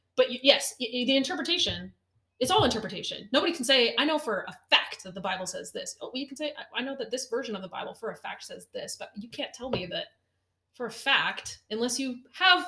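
Her raised, projected voice is high-pitched, as the woman talks at a fairly quick pace with very wide pitch swings and big swings in loudness. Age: 20s. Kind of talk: casual chat. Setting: kitchen table.

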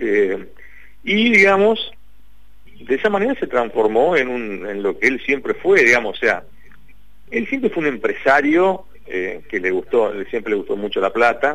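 Pausing often and at length, a man talks at a fairly unhurried pace. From Paraná, Entre Ríos, Argentina. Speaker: investigative journalist. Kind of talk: radio interview.

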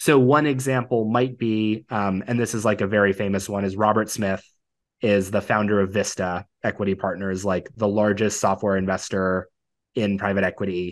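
Against a quiet background, a man with an unremarkable speaking voice talks at a moderate pace, with fairly even intonation and a fairly low pitch. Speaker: finance podcast host and mock interviewer. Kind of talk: mock job interview.

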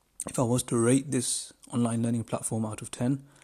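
Somewhat breathy and in a British accent, a man speaks at medium pitch and a moderate pace against a quiet background. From United Kingdom. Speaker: podcast host. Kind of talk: solo podcast monologue. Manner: halting, many fillers and repetitions; enthusiastic.

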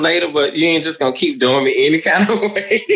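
A man talks at a fairly quick pace with lively intonation. Noticeable background noise runs under his voice. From US South. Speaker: caller on live stream. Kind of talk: casual chat. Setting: Instagram live video call.

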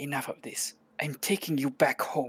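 A put-on character voice sits at a low-to-middle pitch. The pace is moderate. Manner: firm, commanding.

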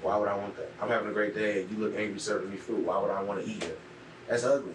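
Amid noticeable background noise and audible room echo, a man with an American accent talks at a very fast pace. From US Midwest, Cleveland, Ohio. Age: 20s. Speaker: entrepreneur. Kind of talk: casual interview.

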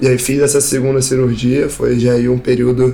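There is noticeable background noise. A man speaks with monotone, flat intonation. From Rio de Janeiro, Brazil. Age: 20s. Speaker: professional skimboard athlete. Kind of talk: interview testimony.

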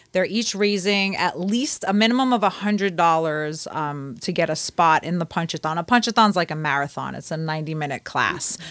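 Fairly quick speech with a slight Brooklyn accent and hardly any pauses, on a very clean recording with a silent background. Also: woman, fairly low pitch for a woman, ordinary pitch variation. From Brooklyn, New York. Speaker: personal trainer and kickboxing instructor. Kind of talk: interview.

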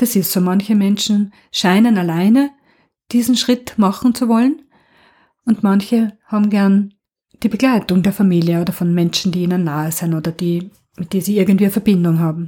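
Somewhat breathy, dark, mellow speech at a moderate pace. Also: woman, medium pitch for a woman, ordinary pitch variation. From Austria, Burgenland. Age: 50s. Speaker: nurse. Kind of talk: interview.

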